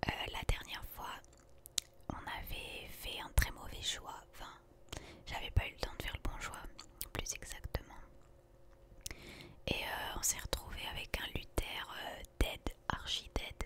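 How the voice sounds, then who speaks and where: A whispered voice moves at a very slow pace with long, frequent pauses over noticeable background noise. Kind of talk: ASMR gaming commentary.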